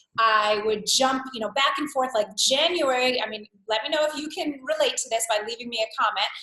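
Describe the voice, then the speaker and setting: A woman talks fairly quickly in a high voice with an American accent and hardly any pauses. Her pitch varies in an ordinary way. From New York. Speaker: wellness coach. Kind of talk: live webinar workshop. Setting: live webcast. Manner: animated.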